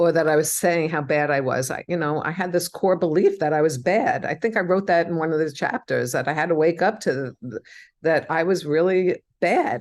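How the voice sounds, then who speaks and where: Against a quiet background, a woman talks at a moderate pace in an ordinary speaking voice, fairly low in pitch with ordinary pitch variation. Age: 60s. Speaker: psychotherapist and spiritual healer. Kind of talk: interview.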